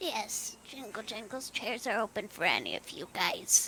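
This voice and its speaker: In a put-on character voice, a female-sounding speaker talks at a moderate pace and a fairly high pitch over clear background noise. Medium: actual play. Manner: refers to herself in third person.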